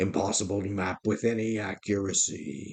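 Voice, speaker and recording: A man's put-on character voice, gruff and raspy, fairly low in pitch, at a moderate pace. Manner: grim, serious.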